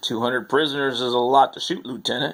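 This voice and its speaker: A man's put-on character voice, medium in pitch, at a very fast pace. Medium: audio drama.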